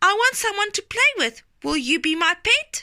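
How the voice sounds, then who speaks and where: A woman puts on a squeaky character voice at an extremely high pitch. Her pitch swings very widely at a moderate pace. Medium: read story.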